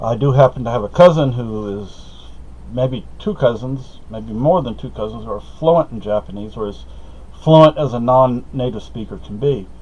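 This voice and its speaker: Amid noticeable background noise, a man speaks at a moderate pace, his loudness swinging widely. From moved between Spain, Germany, US and Okinawa as a child. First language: Spanish. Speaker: vlogger. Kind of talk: casual monologue vlog. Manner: halting, self-correcting.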